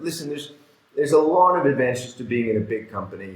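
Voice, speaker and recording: Amid audible room echo and noticeable background noise, a man talks at a fairly high pitch. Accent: Canadian. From Canada. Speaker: fund manager. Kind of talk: podcast interview.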